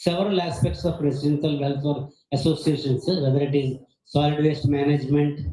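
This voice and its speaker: Somewhat breathy and dark, mellow in tone, a man's fairly high voice moves at a moderate pace amid audible room echo. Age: 70s. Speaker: retired geophysicist, conference speaker. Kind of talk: conference talk.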